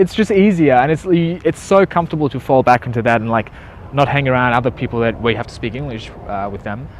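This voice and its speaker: A man with a slight German accent speaks very fast at a medium pitch, his intonation lively. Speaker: entrepreneur. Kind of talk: interview.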